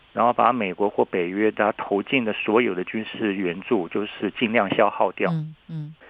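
A man speaks at a moderate pace and fairly low pitch, with ordinary pitch variation and hardly any pauses. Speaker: professor. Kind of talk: interview. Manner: halting, many fillers.

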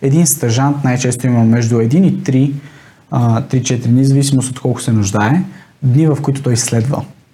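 A man speaks in a dark, mellow tone that is somewhat breathy. His pace is moderate, and room echo is audible. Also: medium pitch for a man, ordinary pitch variation. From Bulgaria, Sofia. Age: 20s. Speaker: door-to-door salesman. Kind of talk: interview.

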